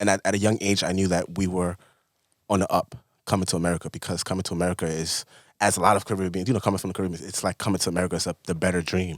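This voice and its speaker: A man talks very fast in a very deep, low voice with monotone, flat intonation. The recording is very clean with a silent background and a dry, close sound with no echo. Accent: New York. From South Bronx, New York (born in Honduras, moved at about six). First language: Spanish. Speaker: fashion designer. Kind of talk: casual chat.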